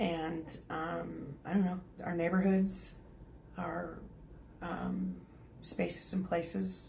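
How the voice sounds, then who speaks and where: A woman with an Oklahoma accent, very slow, with long, frequent pauses and audible room echo. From Oklahoma, US. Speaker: psychic medium and energy healer. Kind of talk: channeling session. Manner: hesitant, many fillers.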